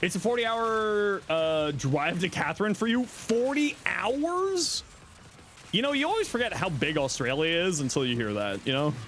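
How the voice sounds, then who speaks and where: A high-pitched man with a slight Canadian accent, very wide pitch swings and a moderate pace. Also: very even loudness. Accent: slight Canadian accent, shows on 'out'. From Southern Ontario, Canada. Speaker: gaming streamer. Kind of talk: live stream chat while gaming. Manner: casual, many filler words.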